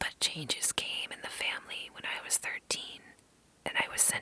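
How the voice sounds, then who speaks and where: Whispering at a moderate pace. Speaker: ASMR reader. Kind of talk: essay reading. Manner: whispered.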